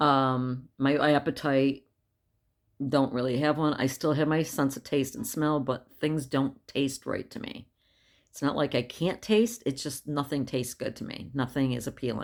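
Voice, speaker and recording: This woman has a very deep, low pitch and speaks at a fairly slow pace. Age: 60s. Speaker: vlogger sharing health update. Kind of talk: casual video diary. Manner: halting with fillers.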